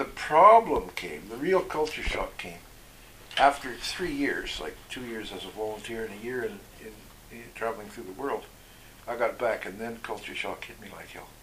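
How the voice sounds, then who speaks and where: A man's ordinary speaking voice at medium pitch, with lively intonation, big swings in loudness and a moderate pace. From Canada, British Columbia (Okanagan Valley). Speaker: former overseas volunteer, economist. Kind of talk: interview.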